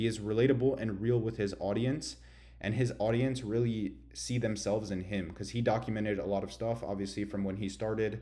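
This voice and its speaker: Over audible room echo, a man talks at a fairly quick pace in a fairly low pitch. His dark, mellow tone carries vocal fry and ordinary pitch variation. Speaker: online business coach. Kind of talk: tutorial. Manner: casual slangy.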